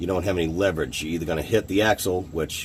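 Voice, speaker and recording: A man with an American accent at a very fast pace, his intonation fairly even. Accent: Boston accent, stronger when talking fast. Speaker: car hobbyist video maker. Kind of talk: DIY tutorial. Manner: casual, hesitant with fillers.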